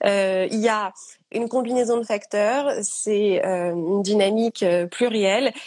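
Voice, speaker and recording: A woman's medium-pitched, fairly even voice, a normal speaking voice. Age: 30s. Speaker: author sharing eating disorder experience. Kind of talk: testimony in live interview. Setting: Instagram live.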